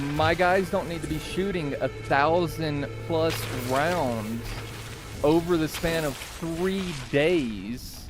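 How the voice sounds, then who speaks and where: A man speaks at a high pitch. Noticeable background noise and audible room echo surround his voice. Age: 60s. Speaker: gaming streamer; military veteran. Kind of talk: casual live stream chat. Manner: hesitant, many fillers.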